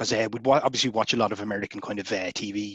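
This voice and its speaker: In an Irish accent, a man talks very fast with a fairly low pitch and fairly even intonation, in a dry sound with no echo against a quiet background. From Ireland, Dublin. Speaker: science fiction author; interviewee. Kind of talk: interview. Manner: casual, hesitant with many fillers. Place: home room. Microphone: headset.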